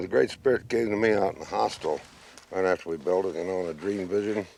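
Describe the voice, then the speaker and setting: With an American accent, a man talks at a fairly quick pace in a very deep, low pitch and fairly even intonation. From Oklahoma. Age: 70s. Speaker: folk artist. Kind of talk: documentary interview. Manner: halting.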